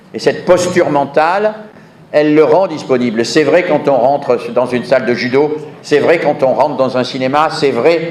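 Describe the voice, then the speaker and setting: A man with a fairly high pitch and ordinary pitch variation speaks at a fairly slow pace. Noticeable background noise and audible room echo can be heard. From southern France. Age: 70s. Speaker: education researcher, conference speaker. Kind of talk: conference lecture. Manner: emphatic, repeats key phrases.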